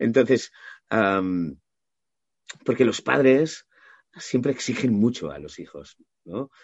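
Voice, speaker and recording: A man with a medium-pitched voice speaks very slowly, with very wide pitch swings, big swings in loudness, and long, frequent pauses. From Catalonia, Maresme (Mataró). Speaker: voice actor. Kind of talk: interview.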